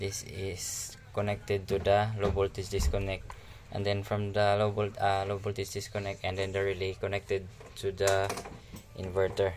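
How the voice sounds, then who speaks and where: A man talks at a moderate pace in a fairly low pitch, with monotone, flat intonation. Noticeable background noise sits behind him. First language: not English. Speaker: DIY hobbyist YouTuber. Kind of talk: tutorial. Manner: halting.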